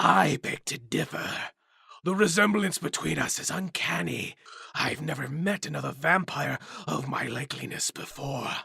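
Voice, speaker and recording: Putting on a character voice, a man sounds raspy and theatrical, fairly high in pitch, at a moderate pace. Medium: audio drama. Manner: mocking, theatrical, self-satisfied.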